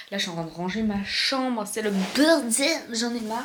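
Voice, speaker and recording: A soft-spoken woman talks at a fairly slow pace with ordinary pitch variation. Noticeable background noise and audible room echo come through. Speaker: vlogger. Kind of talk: casual vlog talk. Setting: at home. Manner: hesitant, many fillers.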